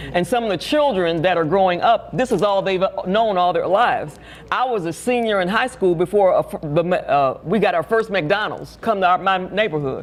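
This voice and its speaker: A woman talks at medium pitch and a moderate pace, with lively intonation and very even loudness. Noticeable background noise sits behind her. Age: 70s. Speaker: ministry leader. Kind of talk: interview.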